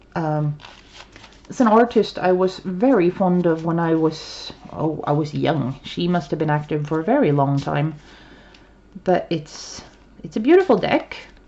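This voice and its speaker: Speaking with a Swedish accent, a woman uses a fairly low pitch and lively intonation at a fairly slow pace with long, frequent pauses. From Sweden. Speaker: tarot reader. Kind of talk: casual chat. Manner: halting. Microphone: poor sound quality.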